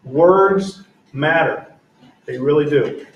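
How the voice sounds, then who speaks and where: Recorded with audible room echo, a man speaks at a fairly high pitch with ordinary pitch variation. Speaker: school board member. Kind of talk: public meeting statement.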